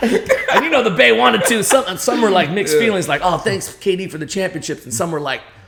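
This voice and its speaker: A man talks at a fairly quick pace in a high, energetic, animated voice with very wide pitch swings. Noticeable background noise runs underneath. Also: hardly any pauses. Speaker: stadium hype man, MC, and interviewer. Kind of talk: podcast interview answer.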